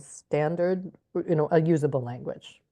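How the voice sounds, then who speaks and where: In an American accent, a woman talks at a moderate pace with a very deep, low pitch. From Alaska, US. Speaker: educator. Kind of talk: interview.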